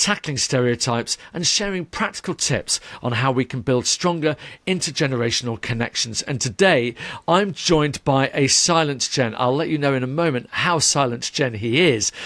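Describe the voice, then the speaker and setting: This man has an ordinary speaking voice with a fairly high pitch. He speaks at a moderate pace with ordinary pitch variation. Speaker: podcast host. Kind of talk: podcast interview hosting.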